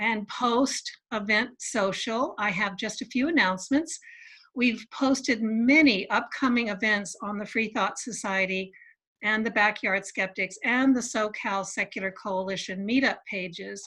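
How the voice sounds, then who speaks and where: Her voice bright and sharp, a woman speaks at a fairly slow pace with a fairly high pitch and ordinary pitch variation. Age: 60s. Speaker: secular society organizer. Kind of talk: event announcements. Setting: video call.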